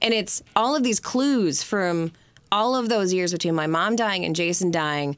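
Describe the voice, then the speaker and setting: Lively in intonation, a woman with an Upper Midwest accent speaks at a moderate pace in a fairly low voice. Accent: Upper Midwest American. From Michigan, Detroit area. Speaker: founder of a suicide loss support organization. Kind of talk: interview. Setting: studio.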